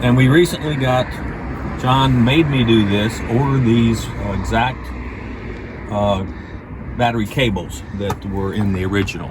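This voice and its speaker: With an American accent, a man of medium pitch talks at a fairly slow pace with ordinary pitch variation and long, frequent pauses, amid noticeable background noise and audible room echo. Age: 60s. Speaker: classic car owner. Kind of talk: casual chat.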